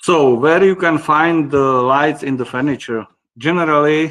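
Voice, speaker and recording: A man with a Czech accent, at a fairly slow pace, over a quiet background. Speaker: company managing director presenting a webinar. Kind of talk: webinar presentation. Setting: online webinar. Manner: halting, many fillers.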